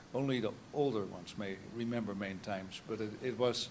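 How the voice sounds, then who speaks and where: A man talks with a Dutch accent. Audible echo fills the room around him. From Netherlands. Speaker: photographer. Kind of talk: artist talk. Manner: halting.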